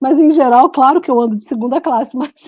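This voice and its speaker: A woman's high-pitched, lively voice with a Brazilian accent. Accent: Brazilian accent in local language. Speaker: writer and journalist. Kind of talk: casual interview chat.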